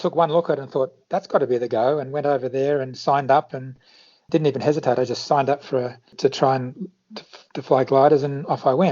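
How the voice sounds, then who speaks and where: In an Australian accent, a man with a fairly high pitch talks at a very fast pace with fairly even intonation. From Australia, Sydney area. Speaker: flight instructor. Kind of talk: interview.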